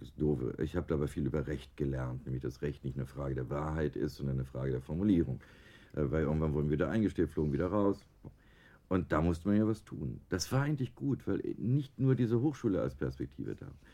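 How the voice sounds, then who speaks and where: Talking very fast with lively intonation, a man uses a very deep, low voice with a dark, mellow tone and vocal fry. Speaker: design professor. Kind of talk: radio interview.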